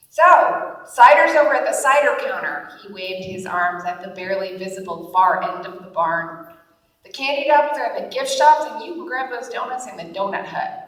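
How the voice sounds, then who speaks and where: Her voice is high, and this woman swings very widely in pitch and a great deal in loudness. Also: moderate pace. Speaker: author. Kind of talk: humor blog reading to live audience. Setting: conference stage.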